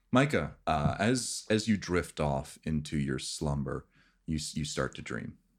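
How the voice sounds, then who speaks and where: A man's very deep, low voice with vocal fry and lively intonation, at a fairly slow pace. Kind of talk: ghost story telling (tabletop game master narrating a dream). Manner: slow, hushed, atmospheric scene-setting.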